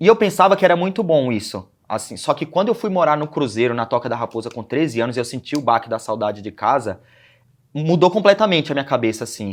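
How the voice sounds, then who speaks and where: This man's pitch swings very widely as he races through his words at a very fast clip. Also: fairly high pitch for a man, very clean recording, silent background. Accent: northeastern Brazilian. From Brazilian Northeast, Aracaju (Sergipe). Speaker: former youth footballer. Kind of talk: interview.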